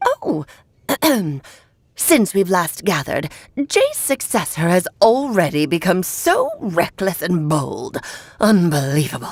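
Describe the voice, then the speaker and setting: Using a put-on character voice at medium pitch, a woman speaks at a fairly slow pace with long, frequent pauses. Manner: scolding, imperious.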